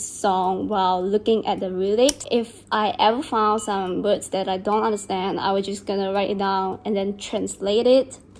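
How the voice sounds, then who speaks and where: A woman with a Chinese accent and a medium pitch speaks at a fairly slow pace, with hardly any pauses. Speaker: beauty and lifestyle vlogger. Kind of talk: casual vlog chat during skincare routine.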